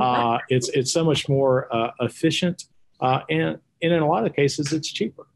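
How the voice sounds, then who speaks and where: Here is a man with a Texas accent. His pitch is fairly high, with ordinary variation. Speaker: podcast host. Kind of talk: interview. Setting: studio.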